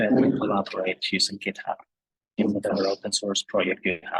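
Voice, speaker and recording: A soft-spoken man, dry and close with no echo. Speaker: tutorial presenter. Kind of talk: tutorial. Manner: hesitant, many fillers.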